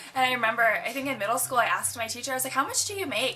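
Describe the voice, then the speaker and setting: A woman with an American accent at a very fast pace, ordinary pitch variation, over noticeable background noise. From Philippines and US. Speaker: interviewee, host's cousin. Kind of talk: casual chat.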